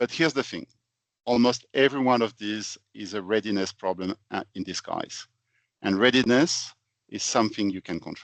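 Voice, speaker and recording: With a French accent, a man talks at a moderate pace and medium pitch with ordinary pitch variation, recorded in a dry, close sound with no echo over a quiet background. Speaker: finance consultant, company founder. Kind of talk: webinar presentation. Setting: online webinar.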